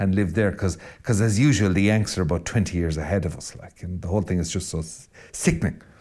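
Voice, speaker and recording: Speaking very fast with a west of Ireland accent, the voice carries a dark, mellow tone and ordinary pitch variation. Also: man. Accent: Irish west of Ireland, rolling R. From Ireland, County Mayo west coast. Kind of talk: spoken reflection monologue. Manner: animated.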